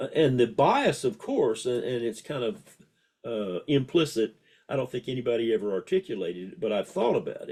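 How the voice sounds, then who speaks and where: A man's fairly quick, somewhat breathy delivery with lively intonation and a dark, mellow tone. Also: medium pitch for a man. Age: 80s+. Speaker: music historian and former music professor. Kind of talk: casual interview conversation.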